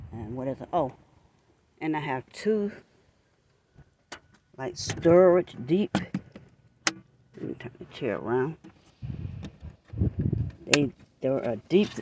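A woman with a very deep, low pitch speaks very slowly with lively intonation and long, frequent pauses. The sound is dry with no echo, and background noise is noticeable. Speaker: van dweller. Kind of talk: casual talk to camera. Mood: cheerful, proud. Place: street. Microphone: phone near.

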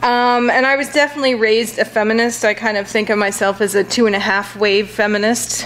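A woman's fairly high pitch and an ordinary speaking voice, ordinary pitch variation and a fairly quick pace over light background noise. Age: 50s. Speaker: associate professor, book reviewer. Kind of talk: book review talk to audience. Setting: library auditorium with live audience. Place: hall. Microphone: podium.

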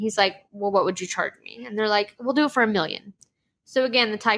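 In quiet surroundings, someone does plain reading aloud.

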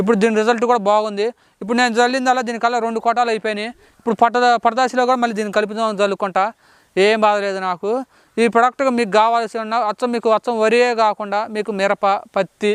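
The intonation is flat and monotone. The sound is dry and close, with no echo. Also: man, high pitch for a man. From Khammam district, Telangana. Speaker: farmer. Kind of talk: product testimonial.

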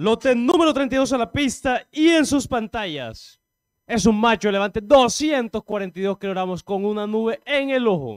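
With lively intonation, a man speaks at a high pitch and a fairly slow pace over a quiet background. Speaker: auction announcer; cattle auctioneer. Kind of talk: formal lot reading; auction announcement. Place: hall.

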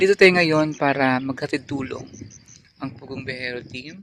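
A man with a fairly high pitch speaks at a fairly slow pace with fairly even intonation. The sound is dry with no echo, with light background noise. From Philippines. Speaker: vlogger. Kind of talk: casual vlog chat. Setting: outdoors, mountain trip. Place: open country. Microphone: phone near.

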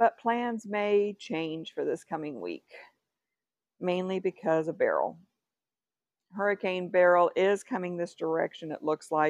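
A woman talks at a fairly slow pace with ordinary pitch variation and long, frequent pauses. The sound is dry with no echo, and the background is quiet. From Texas. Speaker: craft vlogger. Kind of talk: casual vlog chat. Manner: rambling, chatty. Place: home room. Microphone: lapel.

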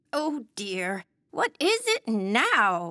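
In a cartoonish character voice, a female-sounding voice speaks at a medium pitch for a woman. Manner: gentle, polite, weary.

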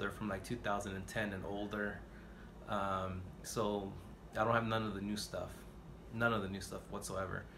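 Over noticeable background noise, a man talks at a moderate pace in a fairly low pitch. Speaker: record collector vlogger. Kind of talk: casual vlog chat. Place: home room.

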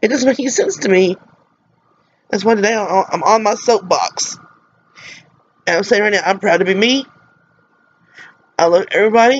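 A woman with an American accent speaks at a fairly high pitch, leaving long, frequent pauses. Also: ordinary pitch variation, fairly quick pace. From US South, Mississippi. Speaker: vlogger. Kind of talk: personal vlog monologue. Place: home room. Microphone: webcam.

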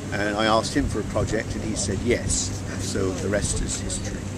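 A man is heard over loud background noise. The sound itself is dry, with no echo. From rural Norfolk, England. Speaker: chemistry lecturer, NMR researcher. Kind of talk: interview answer. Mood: relaxed, reflective. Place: waterside.

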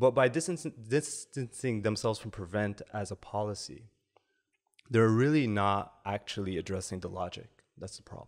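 A man with a Canadian accent has an unremarkable speaking voice, fairly low in pitch and lively in intonation. He keeps a moderate pace with big swings in loudness over a quiet background. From Canada. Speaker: academic researcher; podcast guest. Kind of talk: podcast interview. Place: studio. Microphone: studio mic.

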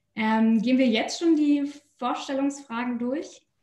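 The tone is dark and mellow, with ordinary pitch variation. The pace is fairly slow. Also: woman, high pitch for a woman.

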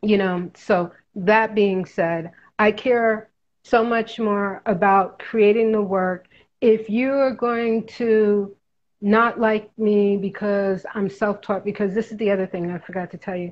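A woman speaks with a New York accent. Her pace is fairly slow and her intonation fairly even. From New York City (Harlem). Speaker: artist; interviewee. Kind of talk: casual interview. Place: home room. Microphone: webcam.

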